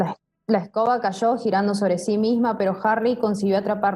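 The text is read aloud in a natural voice, intonation fairly even. All is quiet behind it.

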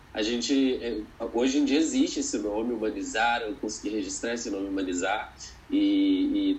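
A man at a moderate pace, with audible room echo. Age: 20s. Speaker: educator. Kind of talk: interview conversation.

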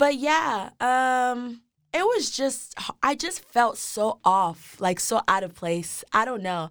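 A high-pitched woman at a very slow pace, with very wide pitch swings. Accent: American. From Texas, Dallas. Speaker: university student. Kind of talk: podcast interview. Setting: studio.

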